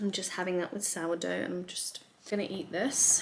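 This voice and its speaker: There is noticeable background noise. A woman talks at a medium pitch. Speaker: lawyer vlogger. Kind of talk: casual vlog talk to camera. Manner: chatty, relaxed.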